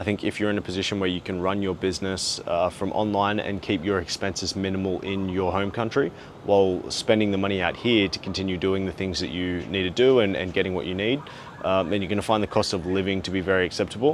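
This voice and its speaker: A man with an Australian accent, very deep and low in pitch, at a very fast pace with fairly even intonation. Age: 20s. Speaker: travel and business vlogger. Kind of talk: vlog monologue. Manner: frequent filler 'uh'.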